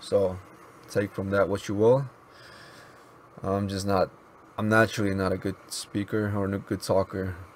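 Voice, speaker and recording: With monotone, flat intonation and a fairly low pitch, a man talks at a moderate pace, leaving long, frequent pauses. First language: Mizo. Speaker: YouTuber and app developer. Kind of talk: casual vlog monologue. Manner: halting, with many pauses and fillers.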